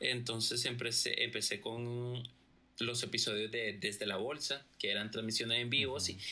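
A man with an ordinary speaking voice keeps a medium pitch, a moderate pace and fairly even intonation. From Costa Rica and Nicaragua. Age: 30s. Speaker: music producer. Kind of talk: casual interview chat.

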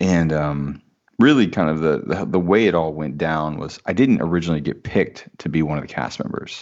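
Talking at a fairly quick pace with a Midwestern American accent, a man uses a very deep, low pitch and ordinary pitch variation. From US Midwest, small-town Indiana. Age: 30s. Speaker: entrepreneur and former minister. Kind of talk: casual interview chat.

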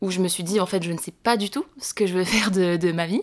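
A woman with an unremarkable speaking voice talks at a medium pitch and moderate pace, with fairly even intonation. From southwestern France, Montauban. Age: 20s. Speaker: traveller. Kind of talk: casual chat.

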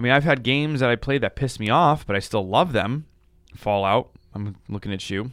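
A man's medium-pitched, ordinary speaking voice at a fairly quick pace, with ordinary pitch variation. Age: 20s. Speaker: podcast host. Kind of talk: casual chat.

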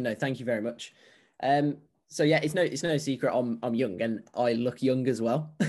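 An unremarkable speaking voice comes from a man at a medium pitch with ordinary pitch variation, over a quiet background. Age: 20s. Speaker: health and fitness coach. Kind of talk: casual chat.

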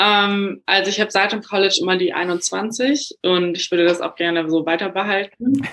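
The voice is a plain, everyday voice with ordinary pitch variation. It moves at a moderate pace with hardly any pauses. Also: woman, medium pitch for a woman. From Germany. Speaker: professional basketball player. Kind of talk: casual interview.

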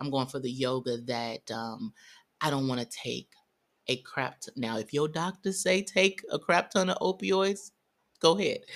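A woman with an American accent and a very deep, low pitch, at a moderate pace with very wide pitch swings, in a very clean recording with a silent background. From US Midwest, St. Louis, Missouri. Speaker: army veteran and wellness coach. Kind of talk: casual interview. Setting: host's home.

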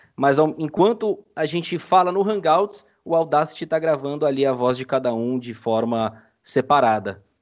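With lively intonation, a man with an unremarkable speaking voice and fairly high pitch talks at a moderate pace. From Brazil, São Paulo city. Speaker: audio drama editor. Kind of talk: casual chat. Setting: video call.

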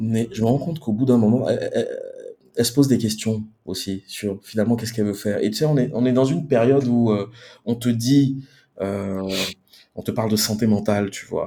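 A man's dark, mellow voice at medium pitch, with ordinary pitch variation, a fairly quick pace and long, frequent pauses. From Ivory Coast, Abidjan. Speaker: marketing director. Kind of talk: interview. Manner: halting.

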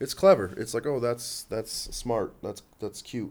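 Soft-spoken, a man talks at a fairly low pitch with ordinary pitch variation. The recording is very clean with a silent background. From born in Los Angeles, raised in Canada. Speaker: stand-up comedian. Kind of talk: casual interview chat. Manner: soft-spoken, chill.

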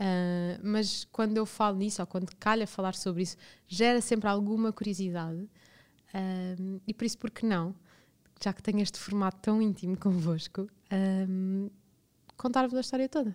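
Fairly even intonation and a moderate pace mark a woman's medium-pitched, unremarkable speaking voice. The recording is very clean, with a silent background. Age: 20s. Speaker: podcast host. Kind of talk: personal storytelling monologue. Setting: studio.

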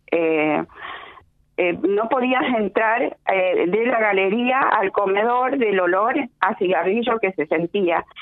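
At a very slow speed, a woman talks in a medium pitch. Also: ordinary pitch variation. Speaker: radio caller. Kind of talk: phone-in complaint. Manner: halting.

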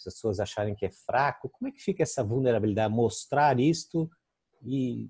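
A man's dark, mellow, somewhat breathy voice, dry and close with no echo. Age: 60s. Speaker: interview host. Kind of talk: interview. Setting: video call.

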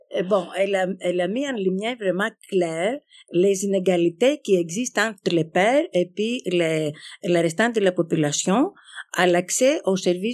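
The speech moves at a fairly slow pace with ordinary pitch variation, in a dry, close sound with no echo. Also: woman. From Greece. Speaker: community organization representative. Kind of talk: live panel discussion before audience. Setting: stage with audience. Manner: halting.

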